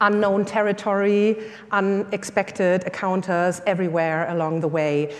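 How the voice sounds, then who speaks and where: Speaking at a moderate pace with a German accent, a woman keeps a medium pitch and fairly even intonation. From Germany. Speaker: workshop leader. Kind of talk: workshop talk. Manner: hesitant with many fillers.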